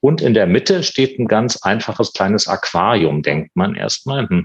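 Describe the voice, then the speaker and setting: Here is a man with a normal speaking voice. He keeps a moderate pace with ordinary pitch variation. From eastern Germany, Potsdam. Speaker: museum director and art historian. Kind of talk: interview.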